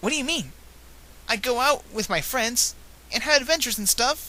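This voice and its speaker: Over clear background noise, a put-on character voice moves at a moderate pace. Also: woman, high pitch for a woman. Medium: read story.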